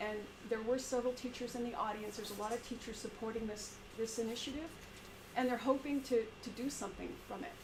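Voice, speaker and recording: A woman talks very fast with a fairly high pitch and fairly even intonation. Noticeable background noise and audible room echo fill the recording. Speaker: teacher. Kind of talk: community meeting presentation. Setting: in-person meeting, live-streamed. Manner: halting, with many repetitions.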